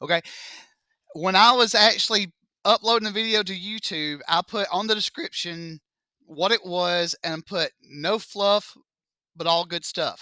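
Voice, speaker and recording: A man with a Southern US accent uses a raised, projected, high-pitched voice with ordinary pitch variation and long, frequent pauses. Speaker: math teacher. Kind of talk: classroom lecture. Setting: classroom with students. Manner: slow; animated.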